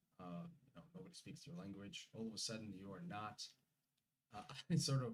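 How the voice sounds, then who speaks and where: A man talks at a very fast pace with lively intonation. His voice is somewhat breathy. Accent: Russian. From Uzbekistan. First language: Russian. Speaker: immigrant guest. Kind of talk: interview. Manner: halting.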